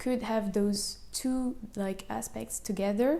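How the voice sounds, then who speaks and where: With a French accent, a woman speaks at a fairly high pitch. Her tone is dark and mellow, and her intonation fairly even. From France, Paris. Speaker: architecture and engineering student. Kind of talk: interview. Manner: casual, many fillers.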